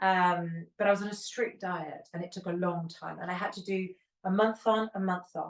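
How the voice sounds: At a moderate pace, a woman speaks at a fairly low pitch with fairly even intonation.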